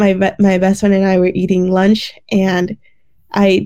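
A medium-pitched woman's voice in an American accent, dark and mellow in tone. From Detroit suburbs, Michigan. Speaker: pre-dental student. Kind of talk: casual interview. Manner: animated.

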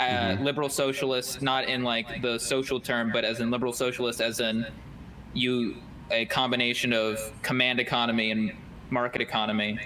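Over noticeable background noise, a man speaks at a medium pitch and a fairly quick pace. His intonation is monotone and flat, and his loudness stays very even. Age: young (19). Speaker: college student and political organizer. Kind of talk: interview. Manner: halting, repeats words. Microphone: hears own echo.

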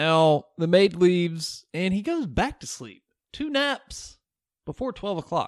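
Speaking at a fairly slow pace with long, frequent pauses, a man with a high voice and a Southern accent swings very widely in pitch, recorded very cleanly against a silent background. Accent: Southern, milder than co-host. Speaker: podcast host. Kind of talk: casual chat with movie recap.

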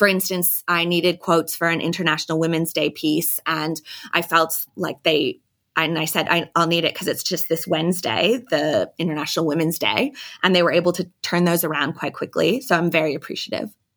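A woman with an American accent uses a normal speaking voice, fairly low in pitch, at a fairly quick pace with ordinary pitch variation. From United States. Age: 30s. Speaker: lifestyle editor. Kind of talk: casual interview.

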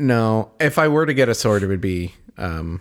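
Here is a man with a plain, everyday voice. His pitch is fairly low and his intonation lively. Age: 30s. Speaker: podcast co-host. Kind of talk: casual chat.

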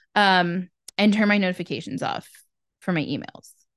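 A woman's normal speaking voice at a medium pitch and a fairly quick pace, over a quiet background. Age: 20s. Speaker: podcast co-host. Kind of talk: casual chat.

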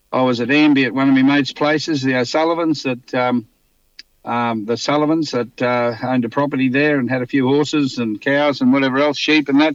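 Speaking with a rural Queensland accent, a man talks at a fairly quick pace and medium pitch with fairly even intonation over a quiet background. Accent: Australian (rural Queensland). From Queensland, Australia (Mitchell, Toowoomba). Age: 60s. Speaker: racehorse trainer. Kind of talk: interview. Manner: halting, many fillers and repetitions.

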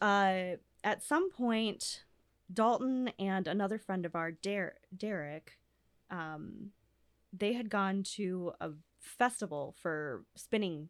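Speaking at a very slow pace with long, frequent pauses, a woman with a medium pitch and ordinary pitch variation is heard on a very clean recording with a silent background. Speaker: fire dancer. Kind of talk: casual interview chat.

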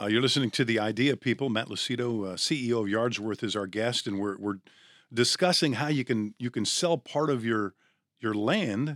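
This man has an ordinary speaking voice at a medium pitch, with lively intonation and a fairly quick pace, recorded very cleanly against a silent background with a dry, close sound and no echo. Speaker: podcast host. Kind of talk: podcast interview. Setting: studio.

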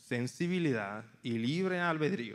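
A man speaking very slowly with ordinary pitch variation. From Mexico, Tampico, Tamaulipas. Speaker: campus missionary. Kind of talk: sermon.

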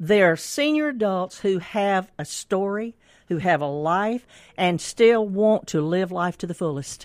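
A woman with a Mississippi accent speaks at a medium pitch with lively intonation on a very clean recording with a silent background. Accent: US Southern (Mississippi). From Mississippi (Canton). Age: 70s. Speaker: author and senior activity director. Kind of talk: book reading and interview.

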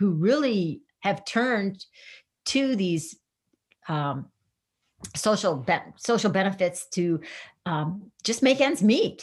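A woman with a medium pitch speaks at a fairly slow pace, somewhat breathy, in an animated tone with lively intonation. The background is quiet. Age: 60s. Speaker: career coach. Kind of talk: interview. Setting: video call.

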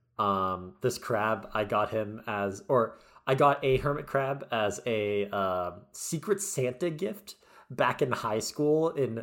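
Speaking in an ordinary speaking voice, a man uses lively intonation at a medium pitch. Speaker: podcast co-host and medical student. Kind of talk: casual chat. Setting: video call.

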